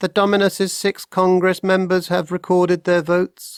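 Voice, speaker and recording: A put-on character voice at middle pitch holds a monotone, flat intonation at a moderate pace. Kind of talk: flat, mechanical.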